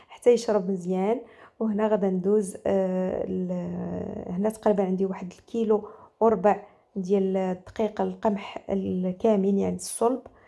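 A woman with a Moroccan accent speaks at a fairly slow pace in a medium pitch. Her tone is dark and mellow, and her intonation monotone and flat. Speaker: cooking channel host. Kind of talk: cooking tutorial.

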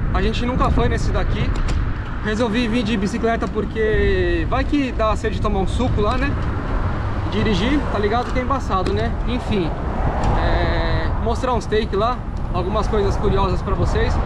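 Amid loud background noise, a man speaks with long, frequent pauses. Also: moderate pace. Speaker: vlogger. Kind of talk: casual vlog chat. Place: bicycle. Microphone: phone near.

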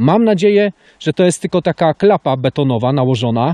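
Against a quiet background, a man with a dark, mellow tone speaks at a fairly quick pace with ordinary pitch variation, the sound dry with no echo. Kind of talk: casual vlog commentary. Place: open country. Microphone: phone near.

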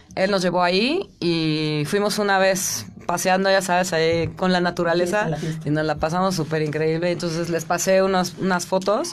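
A woman's ordinary speaking voice, fairly low in pitch with ordinary pitch variation, at a moderate pace over light background noise. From Mexico, Chiapas. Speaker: rock singer. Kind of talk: radio interview. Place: studio. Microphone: studio mic.

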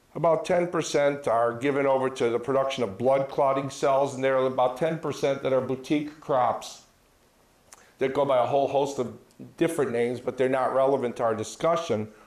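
The speaker has an American accent and keeps a moderate pace at very even loudness. Audible room echo surrounds the voice. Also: man, fairly even intonation. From US Midwest, rural Minnesota. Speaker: physician; presenter. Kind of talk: lecture. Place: hall. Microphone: handheld.

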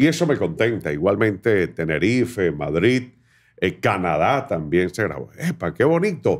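Against a quiet background, a man with a fairly low pitch talks at a fairly slow pace, his voice making very wide pitch swings. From Venezuela, Barinas; Venezuela. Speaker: podcast host. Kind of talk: interview. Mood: animated, warm storytelling. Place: studio. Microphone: studio mic.

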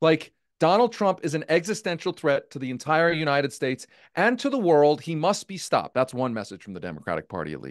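Against a quiet background, a man talks at a very fast pace in an animated tone with a fairly high pitch. His intonation is lively, with big swings in loudness. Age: 40s. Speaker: political journalist and former campaign staffer; political journalist. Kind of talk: live virtual event discussion. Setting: video call. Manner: long-winded. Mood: frustrated, candid. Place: home room. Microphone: studio mic.

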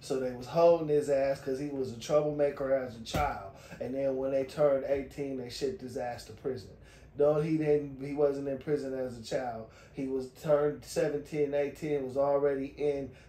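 The voice sounds monotone and flat at a moderate pace. Audible room echo is present. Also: man. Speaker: video reviewer. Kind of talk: commentary. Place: home room. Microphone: phone near.

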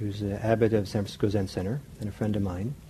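A man is talking. There is light background noise. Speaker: meditation teacher. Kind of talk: lecture. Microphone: lapel.

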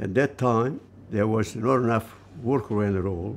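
A man with an Italian accent, medium pitch and fairly even intonation, at a moderate pace with light background noise. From Italy. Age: 80s+. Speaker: shoe cobbler. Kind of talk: interview answer. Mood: warm, reflective, reminiscing. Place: workshop. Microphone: lapel.

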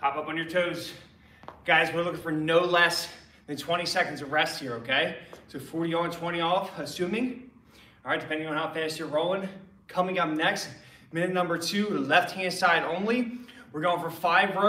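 A man's voice, high for a male, at a moderate pace with ordinary pitch variation, long and frequent pauses, and audible room echo. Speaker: fitness coach. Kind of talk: workout instruction. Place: gym. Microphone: camera far.

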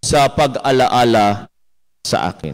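A man is speaking. The background is quiet. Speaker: priest. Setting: church. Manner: formal, solemn, devout. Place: church.

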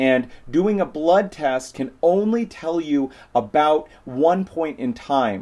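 Lively in intonation, a man speaks very slowly in a dark, mellow tone. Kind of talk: educational explainer to camera. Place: office. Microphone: phone near.

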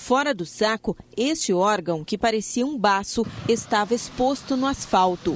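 A woman with a Brazilian accent talks at a fairly high pitch and a fairly slow pace, with lively intonation, a dry sound with no echo, and light background noise. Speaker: news anchor. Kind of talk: news reading.

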